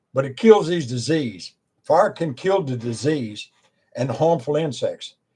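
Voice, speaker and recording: A man with an American accent speaks at a fairly slow pace and fairly high pitch, his somewhat breathy voice dark and mellow in tone, with lively intonation. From Virginia, US. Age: 70s. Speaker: preacher and former wildland firefighter. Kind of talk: informal talk to camera.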